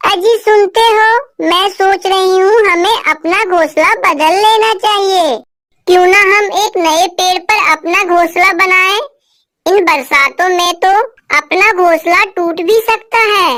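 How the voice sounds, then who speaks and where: Fairly slow delivery in a cartoonish character voice. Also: female-sounding voice, extremely high pitch for a woman. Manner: earnest.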